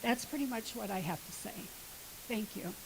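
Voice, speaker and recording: Behind a woman's speech, background noise is noticeable. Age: 80s+. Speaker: resident speaking at public hearing. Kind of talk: public comment at hearing. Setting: township board meeting. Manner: halting, hesitant.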